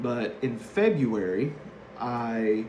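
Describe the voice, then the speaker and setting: A man's medium-pitched voice in an East Tennessee accent, with audible room echo. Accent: Southern US (East Tennessee). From US South, East Tennessee (Harriman). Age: 30s. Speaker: hazardous waste worker, former correctional officer. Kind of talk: class introduction speech. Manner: hesitant, with many fillers.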